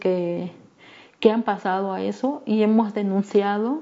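A woman's medium-pitched voice, fairly slow, with ordinary pitch variation. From Mexico, Guerrero (Ayutla de los Libres). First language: Me'phaa (Tlapanec) (speaking Spanish). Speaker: human rights activist. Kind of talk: testimony.

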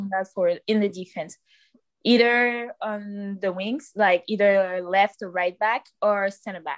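Dry and close with no echo, a woman speaks at a medium pitch with fairly even intonation in a Quebec accent. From Quebec City, raised partly in Cameroonian family. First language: French. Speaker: soccer player. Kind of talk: interview.

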